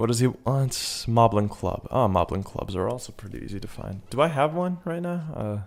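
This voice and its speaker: A man's medium-pitched voice at a fairly quick pace, with very wide pitch swings and big swings in loudness. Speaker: gaming video creator. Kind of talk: casual gameplay commentary. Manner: stutter; animated.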